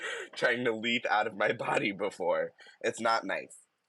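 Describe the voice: Simple reading aloud, nothing more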